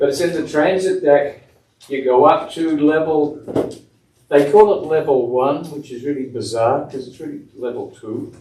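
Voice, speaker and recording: A man with an Australian accent and a fairly high pitch, at a fairly slow pace with long, frequent pauses, ordinary pitch variation, big swings in loudness, and audible room echo. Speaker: municipal official at a zoning board meeting. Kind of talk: public meeting announcements.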